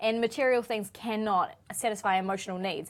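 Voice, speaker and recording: A woman speaks with a New Zealand accent in a fairly high pitch with ordinary pitch variation. The recording is very clean, with a silent background. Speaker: show co-host. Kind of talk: casual chat. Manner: fast.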